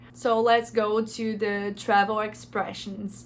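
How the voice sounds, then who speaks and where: A woman with a Brazilian accent speaks in a fairly high pitch with fairly even intonation. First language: Portuguese. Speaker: language teaching youtuber. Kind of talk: tutorial. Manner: halting, with hesitations.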